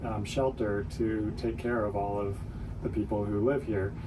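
Noticeable noise sits in the background. The man talks fairly slowly. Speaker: nonprofit CEO. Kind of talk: radio interview.

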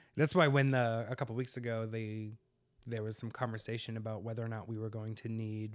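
A plain, everyday voice with an American accent speaks at a moderate pace with fairly even intonation. The recording is very clean, with a silent background. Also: man. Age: 40s. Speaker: podcast co-host. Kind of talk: casual chat.

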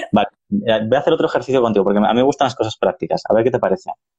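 A man speaks at medium pitch in a dark, mellow tone. His pitch variation is ordinary. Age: 40s. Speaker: podcast host. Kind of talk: interview. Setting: live stream.

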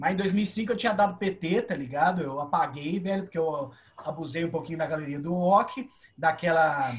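Background noise is noticeable as a man speaks. His pitch is high, and his pace is moderate. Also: ordinary pitch variation. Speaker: podcast host. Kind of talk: casual chat.

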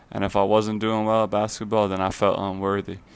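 A man with an American accent speaks in a fairly low, monotone voice with flat intonation at a fairly quick pace, on a very clean recording with a silent background. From Fire Island, New York. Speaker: guest sharing religious testimony. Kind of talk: testimony.

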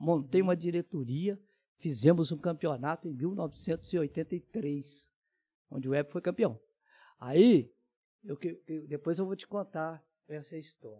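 At a very slow pace and with long, frequent pauses, a man with a fairly high pitch and a dark, mellow tone speaks with ordinary pitch variation and big swings in loudness, captured in a very clean recording with a silent background. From Minas Gerais, Zona da Mata. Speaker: sports radio announcer and reporter. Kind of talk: casual chat.

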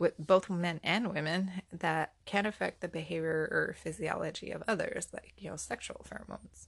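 Some vocal fry runs through a woman's fairly low voice as she speaks at a moderate pace with ordinary pitch variation. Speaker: podcast host. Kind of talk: scripted narration.

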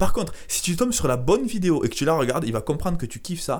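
The speaker is a man with a southern French accent. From southern France (Carcassonne). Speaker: entrepreneur, sales coach. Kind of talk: casual interview. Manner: halting, repetitive.

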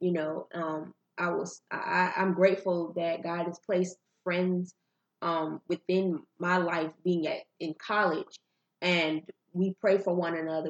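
Here a woman talks at a fairly low pitch in a monotone, flat intonation. The sound is dry and close with no echo. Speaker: podcast guest, cousin of host. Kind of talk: casual conversation podcast discussion. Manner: dominant, authoritative speaker.

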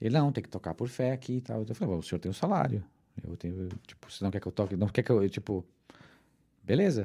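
Speaking at a very fast pace, a man uses a fairly low pitch and lively intonation, his tone dark and mellow and somewhat breathy. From southern Brazil (Rio Grande do Sul), then Mexico from 14. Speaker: musician and cultural producer. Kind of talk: casual interview chat.

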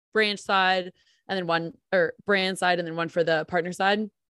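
Someone with an American accent speaks at a moderate pace in a monotone, flat intonation, the sound dry and close with no echo against a quiet background. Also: woman. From New Jersey. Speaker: podcast co-host. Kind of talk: podcast interview. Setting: video call.

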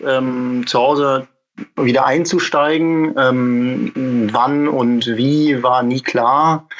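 Speaking with fairly even intonation, the man has a fairly high-pitched voice. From Germany, Münsterland. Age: 20s. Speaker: egg packing business manager. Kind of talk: interview. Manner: halting, many fillers.

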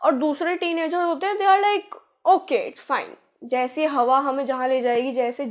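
The voice belongs to a woman with a high pitch. Her pitch variation is ordinary. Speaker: podcast host. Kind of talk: casual monologue. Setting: home recording, changed room. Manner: put-on energetic.

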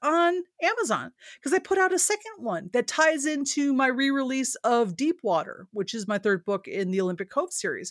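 A woman speaks at a moderate pace with very wide pitch swings. The sound is dry and close with no echo, and the recording is very clean over a silent background. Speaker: podcast co-host, indie author. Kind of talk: casual chat.

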